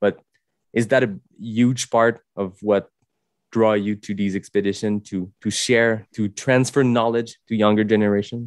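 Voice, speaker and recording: A man speaks at a fairly slow pace in a monotone, flat delivery, with a strong French Canadian accent and a dry, close sound with no echo. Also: fairly low pitch for a man. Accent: thick French Canadian accent in English. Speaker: podcast host. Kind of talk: podcast interview. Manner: halting.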